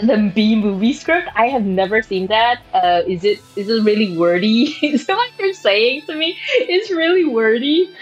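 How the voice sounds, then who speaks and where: A woman with a fairly high pitch speaks at a fairly slow pace with very wide pitch swings and hardly any pauses, over noticeable background noise. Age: 30s. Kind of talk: casual livestream chat with viewers. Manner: chatty, with many fillers and restarts.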